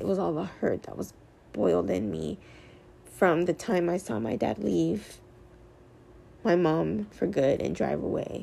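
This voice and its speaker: A dark, mellow voice at a fairly slow pace, with very wide pitch swings and long, frequent pauses. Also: woman, very deep, low pitch for a woman. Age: 20s. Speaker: podcaster. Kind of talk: personal monologue. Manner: hesitant, many ums.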